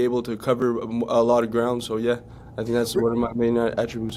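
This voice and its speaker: A medium-pitched male voice with a French accent. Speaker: pro football player. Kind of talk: interview. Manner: halting.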